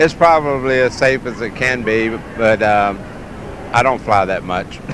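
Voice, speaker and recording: Noticeable background noise sits behind a Southern US accent delivered at a fairly slow pace with ordinary pitch variation. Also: man. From US South, Mississippi Gulf Coast. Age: 60s. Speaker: dog show handler, former air traffic controller. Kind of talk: interview. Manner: hesitant, many fillers.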